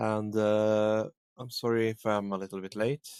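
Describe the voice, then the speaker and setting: A man's fairly low voice with a non-native accent, dry and close with no echo. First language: not English. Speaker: streamer. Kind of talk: gaming stream with reading aloud. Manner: halting.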